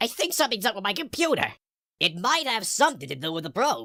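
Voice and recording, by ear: Performing a cartoonish character voice, a man talks very fast in a raised, projected, high-pitched voice with very wide pitch swings.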